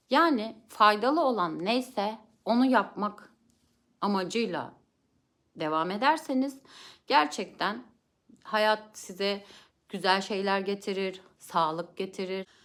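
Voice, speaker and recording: Recorded very cleanly against a silent background, a woman speaks at a very slow pace with lively intonation and long, frequent pauses. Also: medium pitch for a woman. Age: 30s. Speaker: vlogger, family counselor. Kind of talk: personal testimony. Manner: hesitant fillers.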